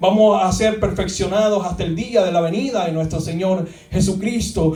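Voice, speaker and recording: Speaking at a fairly slow pace with fairly even intonation, a man with a high pitch is heard over noticeable background noise and audible room echo. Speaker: pastor. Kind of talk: sermon. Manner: repetitive, halting.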